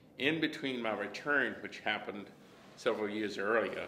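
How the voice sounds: With an American accent, this voice has a bright, sharp tone, a moderate pace and audible echo from the room. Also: man, fairly low pitch for a man, ordinary pitch variation.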